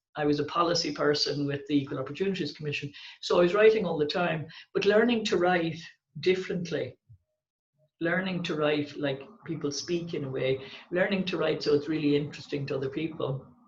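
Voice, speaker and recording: In a Dublin accent, a woman talks at a fairly quick pace in a very deep, low, somewhat breathy voice with ordinary pitch variation. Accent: Irish (Dublin). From Ireland, Dublin. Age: 60s. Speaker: poet and writer. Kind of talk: interview.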